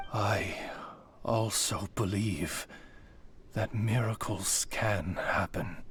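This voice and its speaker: A man uses a put-on character voice pitched fairly low and speaks at a very slow pace. Background noise is clearly audible. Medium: video game. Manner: formal, old-fashioned courtesy.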